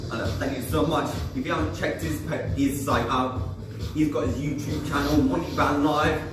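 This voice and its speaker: Clear music plays in the background, and the room echo is audible. A man speaks at a moderate pace with ordinary pitch variation. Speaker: fitness instructor. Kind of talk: workout instruction. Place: garage. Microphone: camera far.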